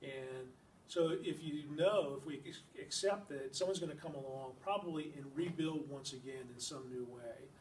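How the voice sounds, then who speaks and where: Somewhat breathy and fairly high-pitched, a man speaks at a moderate pace with audible room echo. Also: ordinary pitch variation, big swings in loudness. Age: 60s. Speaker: environmental nonprofit director. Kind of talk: public lecture. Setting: library talk with audience. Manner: halting, many fillers.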